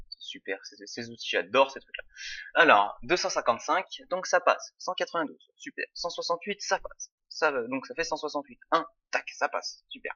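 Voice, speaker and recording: A man at a moderate pace. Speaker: tutorial presenter. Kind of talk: tutorial. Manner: casual, hesitant with fillers.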